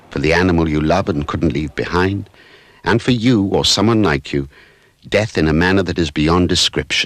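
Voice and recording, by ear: A man speaks at a low pitch with a fairly bright tone.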